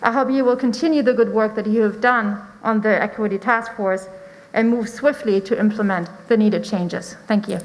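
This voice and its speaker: The speaker has a German accent and ordinary pitch variation. The pace is fairly quick. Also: woman, fairly high pitch for a woman. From Germany. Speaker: parent speaking at public comment. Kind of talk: public comment speech. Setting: school board meeting. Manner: formal.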